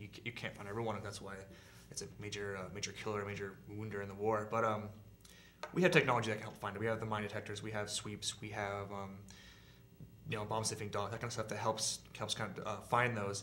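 Very fast, flat, monotone speech from a man with a General American accent and a fairly low pitch, over light background noise. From Southern California. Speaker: army veteran. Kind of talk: interview answer. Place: studio.

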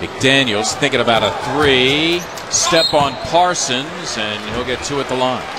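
A man talks at a fairly slow pace with medium pitch and ordinary pitch variation. Noticeable background noise runs underneath. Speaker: play-by-play basketball announcer. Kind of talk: live NBA play-by-play commentary over game highlights. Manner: excitable, rising to shouts on big plays.

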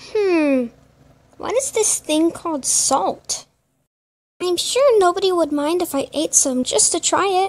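A cartoonish character voice with an extremely high pitch talks at a fairly slow pace. Long, frequent pauses break up the speech. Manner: voice crack.

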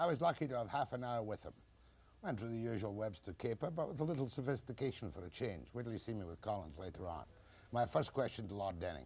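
Talking at a very fast pace, a man shows vocal fry and very wide pitch swings. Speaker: TV talk show host. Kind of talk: broadcast show introduction. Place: studio.

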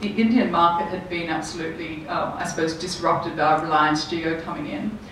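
A woman talks with ordinary pitch variation. Light background noise and audible room echo can be heard. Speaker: panelist. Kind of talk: panel discussion answer. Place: hall.

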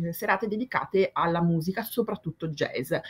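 A woman is speaking. Her intonation is lively. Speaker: theatre columnist; guest. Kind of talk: casual chat. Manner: halting. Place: home room.

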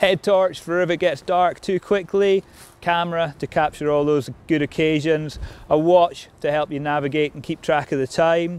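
Moderate pace, fairly even intonation and a dry sound with no echo. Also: man. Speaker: outdoor instructor. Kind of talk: tutorial. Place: open country.

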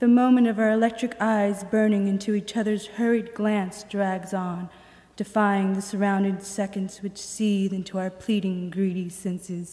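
Here a woman talks at a moderate pace. Her intonation is monotone and flat. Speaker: poet. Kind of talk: poetry reading performed aloud to an audience. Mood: calm, reflective. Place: hall. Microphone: podium.

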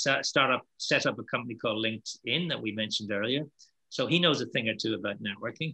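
At a very fast pace, a man with an Irish accent speaks in a bright, sharp tone with ordinary pitch variation against a quiet background. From Ireland. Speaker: networking keynote speaker; keynote speaker. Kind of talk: panel Q&A discussion. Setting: video call. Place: home room. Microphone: webcam.

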